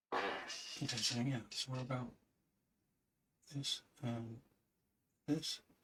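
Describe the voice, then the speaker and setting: Soft-spoken and bright, sharp in tone, a man talks at a very slow pace with long, frequent pauses, a medium pitch and fairly even intonation. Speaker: artist painting live. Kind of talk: live painting tutorial. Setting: livestream with chat.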